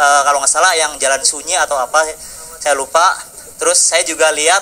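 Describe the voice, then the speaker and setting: Here a man speaks with a Central Javanese accent in a monotone, flat intonation. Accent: Central Javanese accent, noticeable. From Central Java (Bumiayu). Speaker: audience member asking a question. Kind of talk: question from the floor at a discussion forum. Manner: hesitant, many fillers.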